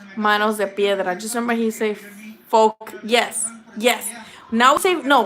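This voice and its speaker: A woman's animated tone amid noticeable background noise. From Mexico, moved to US at eight. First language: Spanish. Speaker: boxing YouTuber. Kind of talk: casual live-stream chat. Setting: live stream. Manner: casual, swearing, animated.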